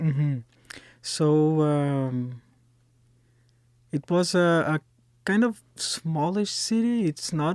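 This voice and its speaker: A man's fairly high-pitched voice with a Brazilian Portuguese accent, a very slow pace, long and frequent pauses and ordinary pitch variation, in a very clean, dry, close recording with no echo and a silent background. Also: very even loudness. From Brazil, Florianópolis. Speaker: singer-songwriter and street performer. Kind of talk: casual chat. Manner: halting.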